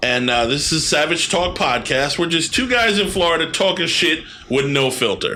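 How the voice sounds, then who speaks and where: A man with a New York accent talks at a fairly high pitch. His intonation is lively, and his loudness stays very even. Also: moderate pace. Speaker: podcast host. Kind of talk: casual chat.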